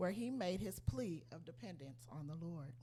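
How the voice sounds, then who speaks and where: A woman talks at a fairly slow pace with very wide pitch swings. Vocal fry runs through her voice. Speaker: lay church speaker giving inspirational message. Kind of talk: inspirational church talk with testimony. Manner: quiet.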